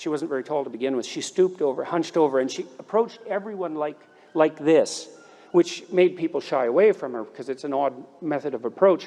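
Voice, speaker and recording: A man with a fairly high pitch talks at a fairly quick pace over noticeable background noise. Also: ordinary pitch variation. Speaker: commencement speaker, clinical psychologist. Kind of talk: commencement speech.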